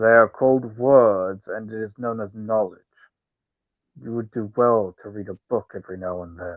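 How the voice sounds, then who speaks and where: A man puts on a character voice, keeping a medium pitch and moderate pace. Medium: actual play. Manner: broken, primitive speech.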